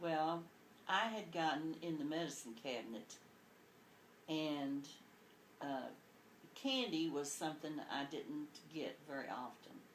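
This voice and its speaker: A woman's very deep, low voice with long, frequent pauses and audible room echo. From Kentucky, rural. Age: 60s. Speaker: grandmother being interviewed. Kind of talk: oral history interview, storytelling.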